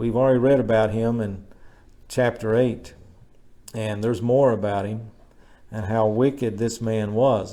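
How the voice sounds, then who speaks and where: A man speaks with a dark, mellow tone at a moderate pace. There is audible room echo. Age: 60s. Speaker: pastor. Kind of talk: sermon. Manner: conversational.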